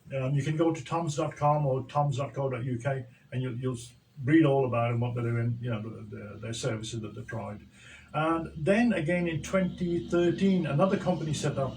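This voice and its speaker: Through audible room echo, a man with a fairly high pitch speaks at a fairly quick pace with ordinary pitch variation. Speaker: social entrepreneur. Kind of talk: radio interview.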